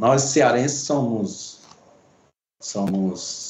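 A man's speech carries audible room echo amid noticeable background noise. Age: 60s. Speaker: pipe maker and artisan. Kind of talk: casual interview.

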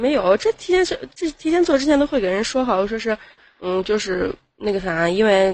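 Her voice is fairly high and swings very widely in pitch. The woman keeps a moderate pace. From Xi'an, Shaanxi, China. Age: 20s. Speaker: nail salon owner calling in. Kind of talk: casual chat.

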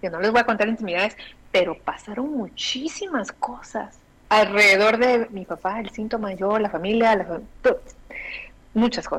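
This woman has an unremarkable speaking voice, pitched fairly high, with ordinary pitch variation at a moderate pace. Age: 40s. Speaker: bioexistence consultant. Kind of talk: interview.

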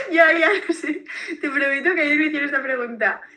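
A woman uses a raised, projected voice. Her pace is fairly quick. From Valencia region, Spain. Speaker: beverage brand founder. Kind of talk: interview.

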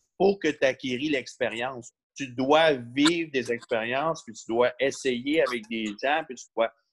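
A man with a Quebec accent speaks fairly slowly at medium pitch, with ordinary pitch variation and big swings in loudness. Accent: Québécois French. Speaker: competitive bodybuilder and coach. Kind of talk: casual interview.

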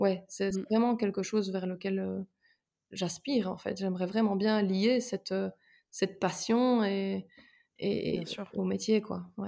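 Very slow speech with long, frequent pauses and a dark, mellow tone comes through fairly even intonation on a very clean recording with a silent background. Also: woman, medium pitch for a woman. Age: 20s. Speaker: psychology-trained sports enthusiast. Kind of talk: casual interview.

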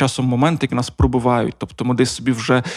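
Someone speaks at a fairly quick pace in a Russian accent. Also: man. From Donetsk region, eastern Ukraine. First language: Russian (speaking Ukrainian). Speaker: radio co-founder, podcast co-host. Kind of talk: casual chat. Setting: studio.

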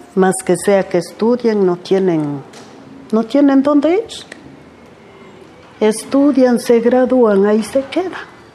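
Over noticeable background noise, a woman speaks very slowly in a fairly high pitch, with lively intonation and very even loudness. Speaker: farm worker. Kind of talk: life story testimony.

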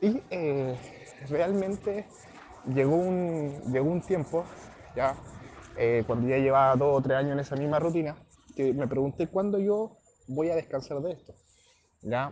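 A man's fairly high voice at a fairly slow pace, with ordinary pitch variation and long, frequent pauses. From southern Chile. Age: 20s. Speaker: network marketing entrepreneur, former footballer and fitness trainer. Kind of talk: motivational testimony. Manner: hesitant, with many fillers.

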